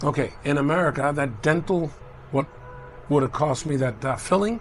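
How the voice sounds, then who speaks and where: There's noticeable background noise as a man speaks at a fairly high pitch. He keeps a moderate pace with ordinary pitch variation. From Cuba, raised in US (Miami, New York). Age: 60s. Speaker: traveler. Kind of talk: casual chat. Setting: restaurant.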